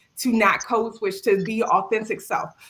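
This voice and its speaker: Talking at a fairly quick pace with fairly even intonation, a woman speaks in a strong Maryland accent. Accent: Maryland accent, still very strong. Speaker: cybersecurity tester. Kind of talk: panel discussion. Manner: casual, conversational.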